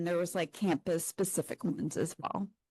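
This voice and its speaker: A soft-spoken woman's voice, dry and close with no echo, over a quiet background. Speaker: academic librarian. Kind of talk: conference presentation.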